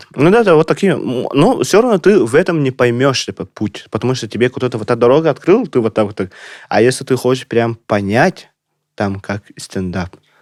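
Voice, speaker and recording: A man with a non-native accent, medium pitch, very wide pitch swings and moderate pace, on a very clean recording with a silent background and dry, close sound without echo. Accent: non-native Russian. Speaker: stand-up comedian. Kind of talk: casual podcast chat.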